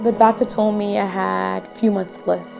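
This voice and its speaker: A woman talks at a medium speed. Behind her, music is playing. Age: 30s. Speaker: cancer patient. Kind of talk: documentary interview answer.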